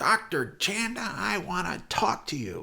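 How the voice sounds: A man performs a put-on character voice. He speaks at a fairly slow pace.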